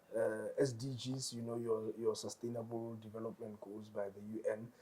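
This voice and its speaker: Noticeable background noise sits behind a man with a Botswana accent. He speaks at a moderate pace and a medium pitch. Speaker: tutoring company founder. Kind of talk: interview. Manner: repetitive stammering fillers.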